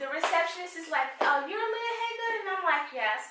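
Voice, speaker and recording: A woman speaks in a raised, projected voice with an animated tone. Her intonation is lively, and audible room echo surrounds it. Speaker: career advice consultant. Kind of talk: interview chat.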